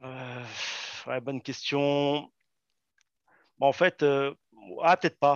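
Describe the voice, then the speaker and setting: Very slow delivery with long, frequent pauses, big swings in loudness and fairly even intonation. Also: man, fairly high pitch for a man. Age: 30s. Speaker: soldier and poker player. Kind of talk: casual interview.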